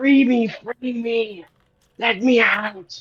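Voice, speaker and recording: A raspy, put-on character voice that sounds female. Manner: pleading.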